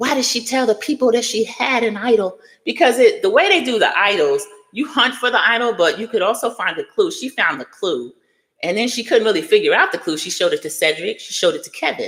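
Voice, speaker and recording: A woman talks at a very fast pace in a high pitch, her animated tone marked by very wide pitch swings. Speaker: youtuber discussing reality TV. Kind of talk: live stream commentary. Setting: live stream reading chat.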